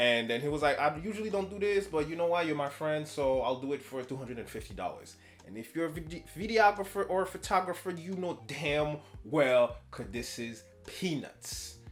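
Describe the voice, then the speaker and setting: An animated tone with lively intonation at a moderate pace, music in the background. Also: man, fairly high pitch for a man. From French Canada. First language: French. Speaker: YouTuber reacting to Reddit posts. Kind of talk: casual commentary reading posts aloud. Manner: casual, animated.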